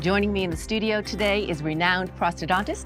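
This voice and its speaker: A woman at a fairly quick pace, with music in the background. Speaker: TV host. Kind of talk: infomercial host interview in front of studio audience. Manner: warm.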